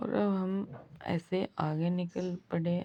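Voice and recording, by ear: A woman's hoarse, fairly low voice with a slightly husky edge and fairly even intonation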